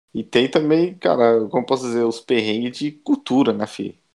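Here a man talks in an ordinary speaking voice. His pace is moderate, with ordinary pitch variation. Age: 20s. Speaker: Italian-Brazilian emigrant. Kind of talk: interview.

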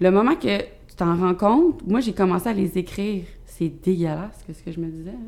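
An unremarkable speaking voice from a woman at medium pitch, moderate pace and ordinary pitch variation, with big swings in loudness. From Quebec, Rive-Sud of Montreal. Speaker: fitness coach and business owner. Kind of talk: casual chat. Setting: studio.

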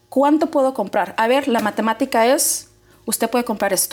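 Her tone is animated as this woman talks. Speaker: mortgage loan officer. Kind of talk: informational interview. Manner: fast.

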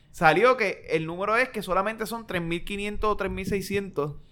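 With a raised, projected voice, a man speaks at a high pitch in a bright, sharp tone with ordinary pitch variation. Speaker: podcast co-host. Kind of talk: casual chat.

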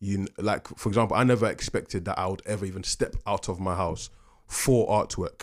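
A man with a London accent talks at a fairly quick pace and fairly low pitch. His intonation is fairly even, and the recording is very clean with a silent background. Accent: London English (Multicultural London English). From London (Peckham), British-Ghanaian family. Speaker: artist. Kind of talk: podcast interview. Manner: casual, laughs often.

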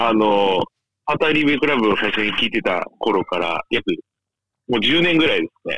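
In a normal speaking voice, a man holds a medium pitch. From Japan, Chiba. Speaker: former listener and ex-participant. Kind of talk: casual chat.

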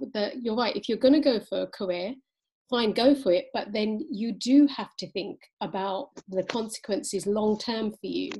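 The woman's voice is fairly high-pitched and somewhat breathy. Its tone is dark and mellow, with ordinary pitch variation. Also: moderate pace. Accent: British. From England. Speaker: podcast host. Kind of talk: interview. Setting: remote call.

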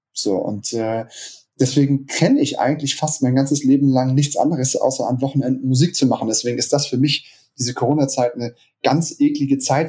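Speaking at a fairly quick pace, a man with a fairly high pitch sounds somewhat breathy, his tone dark and mellow. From Hamburg, northern Germany. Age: 30s. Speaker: DJ and music producer. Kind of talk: podcast interview. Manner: hesitant, many fillers.

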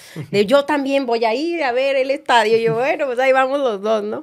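Fairly quick, high-pitched female speech in a very clean recording with a silent background. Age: 30s. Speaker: radio and TV presenter. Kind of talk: interview conversation.

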